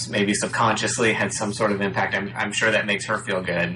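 Noticeable background noise sits behind the voice. It belongs to a man with a fairly low pitch. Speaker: music producer friend. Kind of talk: casual chat.

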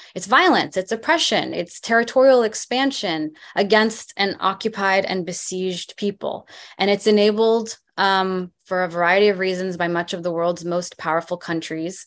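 Against a quiet background, a woman with an American accent talks at a moderate pace with ordinary pitch variation. It is a plain, everyday voice. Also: medium pitch for a woman. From US, moved from West Bank at age four. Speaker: public health professor. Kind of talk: interview.

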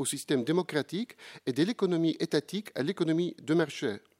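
In a Polish accent, a man talks at a moderate pace and a fairly high pitch, the recording very clean with a silent background and a dry, close sound with no echo. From Poland. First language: Polish (speaking French). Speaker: professor. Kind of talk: conference talk. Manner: formal.

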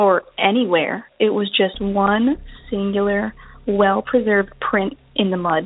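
A normal speaking voice with an American accent and ordinary pitch variation. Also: woman. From North Carolina, Outer Banks. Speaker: science teacher. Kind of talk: voicemail story.

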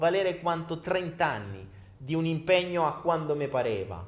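A man's high voice at a fairly slow pace. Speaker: livestream host. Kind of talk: casual livestream monologue. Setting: live video stream.

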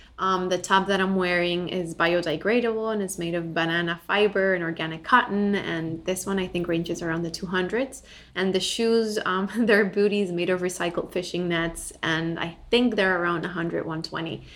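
With a Spanish accent, a woman talks at medium pitch and a moderate pace, with hardly any pauses. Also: fairly even intonation. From Bolivia. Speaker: ethical lifestyle entrepreneur. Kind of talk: casual interview.

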